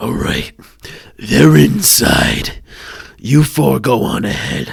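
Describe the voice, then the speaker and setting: A raspy put-on character voice moves very slowly through very wide pitch swings. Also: man, fairly low pitch for a man. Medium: actual play. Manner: menacing, laughing.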